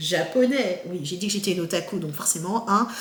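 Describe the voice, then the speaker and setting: A woman's lively intonation amid audible room echo and noticeable background noise. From France, Haitian parents. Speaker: YouTuber and researcher. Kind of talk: casual vlog monologue. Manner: hesitant, many fillers.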